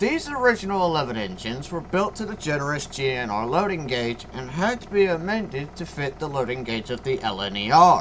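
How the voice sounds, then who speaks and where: A man speaks at a fairly quick pace with hardly any pauses, his fairly high pitch swinging very widely. Noticeable background noise runs underneath. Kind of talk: history narration. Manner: stuttering at times.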